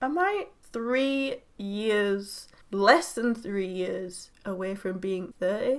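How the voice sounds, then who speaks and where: Bright and sharp, a woman with a British accent talks in an animated tone with lively intonation. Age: 20s. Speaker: YouTuber. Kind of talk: casual reaction vlog.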